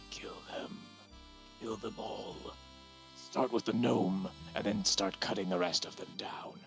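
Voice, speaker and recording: Over clear music in the background, a put-on character voice moves at a fairly slow pace with long, frequent pauses. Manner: whispering, sinister.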